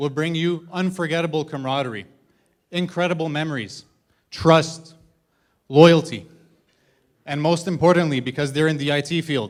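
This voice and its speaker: Long, frequent pauses break up a man's moderate-paced speech. His pitch is fairly high. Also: very clean recording, silent background. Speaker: best man giving wedding toast. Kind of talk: wedding speech. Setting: wedding reception with audience. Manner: monotone.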